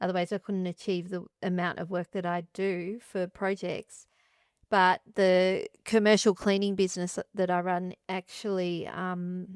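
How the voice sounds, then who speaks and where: A woman with an Australian accent speaks at a fairly slow pace in a medium pitch, her intonation flat and monotone, on a very clean recording with a silent background and a dry, close sound free of echo. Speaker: interdisciplinary artist and composer. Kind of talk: interview conversation. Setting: artist studio.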